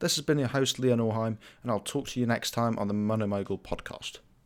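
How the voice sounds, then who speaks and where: In a very clean recording with a silent background, a man talks at a fairly quick pace and medium pitch with ordinary pitch variation, an ordinary speaking voice. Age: 20s. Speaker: finance podcast host. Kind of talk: scripted monologue. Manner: formal.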